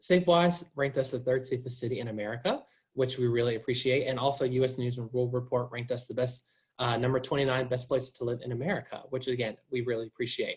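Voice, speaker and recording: A man's somewhat breathy, enthusiastic voice at a medium pitch and very fast pace, with a slight Southern US accent. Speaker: university admissions officer. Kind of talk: informational presentation. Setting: video call.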